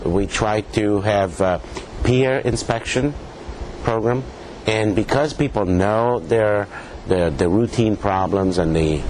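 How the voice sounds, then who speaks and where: With a Spanish accent, a man talks at a very slow pace in a fairly low voice over noticeable background noise. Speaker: pathologist, professor. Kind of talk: interview. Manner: halting, many fillers.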